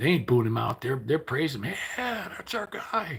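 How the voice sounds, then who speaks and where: Moving at a fairly quick pace, a man talks with very wide pitch swings. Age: 60s. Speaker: livestreamer. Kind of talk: casual livestream chat. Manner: rambling conversational.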